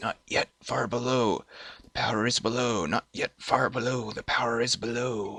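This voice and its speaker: His voice sits at a medium pitch. The man is doing a put-on character voice. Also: moderate pace. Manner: eerie.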